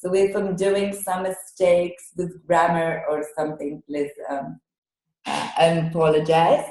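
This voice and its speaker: A woman with a non-native accent and a dark, mellow tone speaks at a fairly slow pace with fairly even intonation. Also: fairly low pitch for a woman. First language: Hebrew. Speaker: Hebrew language educator. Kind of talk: online workshop. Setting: video call webinar. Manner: halting, many fillers.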